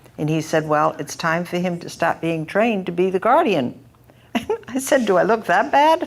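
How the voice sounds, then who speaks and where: Over noticeable background noise, a woman talks at a moderate pace in a fairly low pitch with lively intonation. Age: 70s. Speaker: caregiver panelist, mother of brain injury survivor. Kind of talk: panel discussion.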